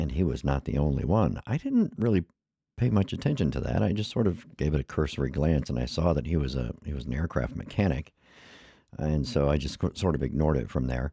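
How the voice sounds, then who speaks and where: With vocal fry and a dark, mellow tone, the voice moves at a fairly quick pace. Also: man, very deep, low pitch for a man. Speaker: YouTube commentator. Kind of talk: casual commentary. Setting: screen share video. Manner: halting, stumbling.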